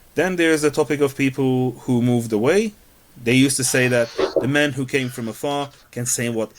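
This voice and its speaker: This is a man speaking. He has a Hungarian accent. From Hungary. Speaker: podcast host. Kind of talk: discussion monologue.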